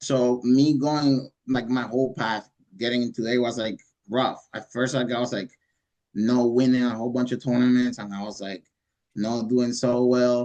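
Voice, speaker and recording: At a moderate pace, a man talks in a dark, mellow, medium-pitched voice with fairly even intonation. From Cuba. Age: 20s. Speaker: judo athlete. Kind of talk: interview. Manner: halting.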